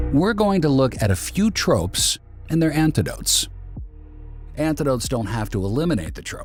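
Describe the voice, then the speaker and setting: Music plays in the background as the speaker keeps a moderate pace and swings through very wide changes in pitch. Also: man, fairly high pitch for a man. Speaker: voice actor. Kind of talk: video essay narration.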